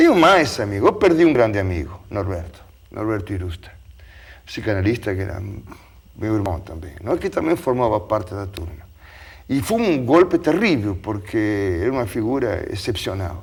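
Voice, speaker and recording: A man's fairly low, somewhat breathy voice with very wide pitch swings at a moderate pace. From Argentina (Tucumán). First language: Spanish (speaking Portuguese). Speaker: TV talk show host. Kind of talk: panel discussion. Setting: studio.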